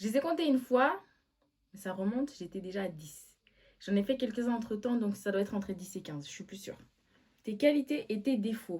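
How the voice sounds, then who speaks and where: With lively intonation and big swings in loudness, a woman speaks at a fairly quick pace in a somewhat breathy, dark, mellow tone, leaving long, frequent pauses. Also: medium pitch for a woman. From Switzerland. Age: 20s. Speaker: vlogger. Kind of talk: casual chat. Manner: animated.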